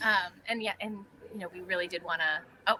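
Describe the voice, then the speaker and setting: A woman is speaking. Her pace is very fast. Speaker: patient advocacy organization leader. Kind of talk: live webinar update.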